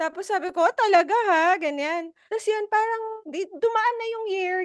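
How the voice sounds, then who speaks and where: A woman speaking at a moderate pace. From Philippines, Filipino Chinese community. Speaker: podcast co-host. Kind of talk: casual chat.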